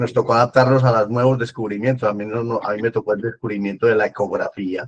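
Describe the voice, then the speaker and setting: Against a dry, close sound with no echo, a man speaks at a very fast pace. His intonation is monotone and flat. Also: medium pitch for a man. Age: 80s+. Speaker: retired pediatric surgeon. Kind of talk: panel discussion.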